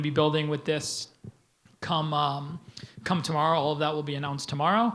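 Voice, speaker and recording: The room echo is audible as a man speaks at a fairly high pitch. His intonation is monotone and flat. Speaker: tech company CEO, keynote speaker. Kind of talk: conference keynote with Q&A. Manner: fast; casual, many fillers.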